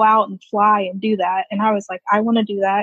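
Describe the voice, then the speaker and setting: The speaker has a somewhat breathy voice with monotone, flat intonation and an American accent. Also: woman. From Virginia, Woodbridge near Washington D.C. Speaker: Navy veteran. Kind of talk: interview.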